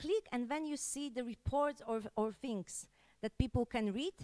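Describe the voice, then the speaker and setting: Against a quiet background, a woman speaks in a high-pitched voice. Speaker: conference presenter. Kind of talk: conference talk. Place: hall. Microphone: handheld.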